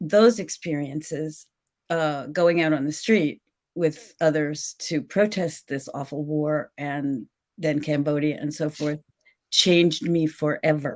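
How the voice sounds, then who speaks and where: On a very clean recording with a silent background, a woman with an American accent talks at a very slow pace. Her pitch is very deep and low, with fairly even intonation. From New Jersey, suburb of New York City. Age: 70s. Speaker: author, former teacher. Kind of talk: casual interview chat.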